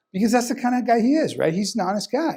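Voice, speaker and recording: The voice belongs to a man. It sounds dark and mellow. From Sonora, northern Mexico. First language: Spanish. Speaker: criminal defense lawyer. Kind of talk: testimonial interview.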